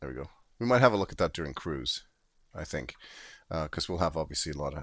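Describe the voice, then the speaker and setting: Lively in intonation, a man talks with a very deep, low pitch and vocal fry. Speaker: video game streamer. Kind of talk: live gameplay commentary. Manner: casual, halting with fillers.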